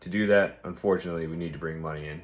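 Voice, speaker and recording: Very fast speech comes from a man. His intonation is fairly even. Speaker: podcast host. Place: home room. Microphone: phone near.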